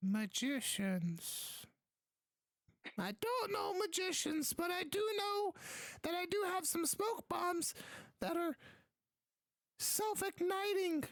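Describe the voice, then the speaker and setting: In a squeaky, extremely high-pitched put-on character voice, the speaker talks very slowly with long, frequent pauses. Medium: actual play. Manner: doddering, muddled.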